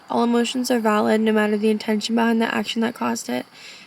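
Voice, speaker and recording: A woman speaks in a monotone, flat way at a fairly high pitch over noticeable background noise. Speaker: vlogger. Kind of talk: casual monologue vlog. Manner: rambling, trails off.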